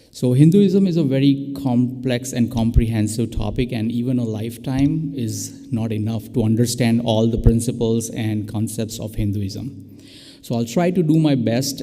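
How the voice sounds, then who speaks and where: Music plays in the background while the speaker goes at a fairly slow pace. There are hardly any pauses. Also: man. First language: not English. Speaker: interfaith guest speaker. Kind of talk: prepared talk. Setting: church with live stream.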